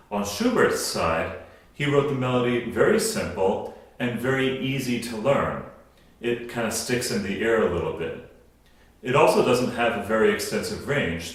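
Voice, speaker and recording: This man talks at a moderate pace, his voice carrying audible room echo. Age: adult past college. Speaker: opera singer and podcast host. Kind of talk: educational talk introducing a song. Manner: conversational.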